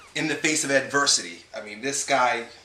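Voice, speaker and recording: There is noticeable background noise and audible room echo. A man with a fairly high pitch speaks at a fairly quick pace. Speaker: fitness coach. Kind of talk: casual vlog tour. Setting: at home; gym. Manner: quieter than usual.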